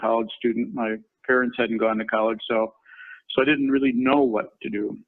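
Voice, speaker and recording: The speaker is a man with a Minnesota accent. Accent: Minnesota accent, noticeable. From Minnesota, US Midwest. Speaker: construction company chairman, former lawyer. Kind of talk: career talk in webinar. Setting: company headquarters, video webinar.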